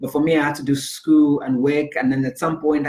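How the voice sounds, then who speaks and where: Fairly quick and somewhat breathy, a man speaks with a Zambian accent. His intonation is fairly even. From Zambia, Lusaka. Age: 30s. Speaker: life coach and speaker. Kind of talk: interview. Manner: repetitive, halting with many fillers.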